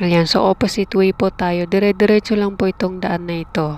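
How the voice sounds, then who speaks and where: A woman with a medium-pitched voice is heard over noticeable background noise. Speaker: travel vlogger. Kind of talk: vlog narration while riding. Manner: hesitant, many fillers.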